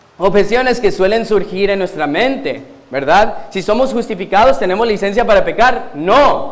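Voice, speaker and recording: There is noticeable background noise and audible room echo as a man with a high voice speaks. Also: ordinary pitch variation, moderate pace. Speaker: guest preacher, pastor. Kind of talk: sermon. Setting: church pulpit.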